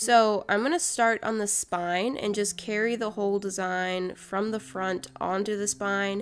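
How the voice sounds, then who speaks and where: A woman speaks at a fairly slow pace in a medium pitch. Music plays in the background. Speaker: art and craft YouTuber. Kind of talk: casual craft video voice-over. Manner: soft-spoken.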